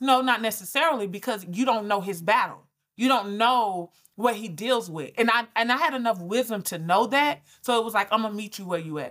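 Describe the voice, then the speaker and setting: This woman has an unremarkable speaking voice, fairly high in pitch with ordinary pitch variation, and she talks at a fairly quick pace. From Georgia, US South (Albany). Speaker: business coach and brand strategist. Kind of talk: interview conversation. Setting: remote call.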